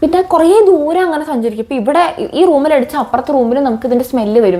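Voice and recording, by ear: A woman talks fast in a high voice with a dark, mellow tone. Her intonation is lively.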